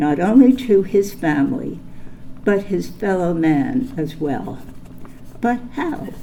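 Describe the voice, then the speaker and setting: A woman's fairly low voice, with very wide pitch swings, a very slow pace and audible room echo. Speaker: honoree's daughter giving tribute speech. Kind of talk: prepared tribute speech. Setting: ceremony hall with audience. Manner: formal.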